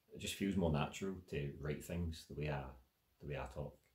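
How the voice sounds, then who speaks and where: A man with a Glaswegian accent talks at a fairly quick pace in a very deep, low pitch, with vocal fry and ordinary pitch variation. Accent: Glaswegian Scots. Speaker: writer and spoken word performer. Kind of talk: casual talk answering audience questions. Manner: casual, filler-heavy.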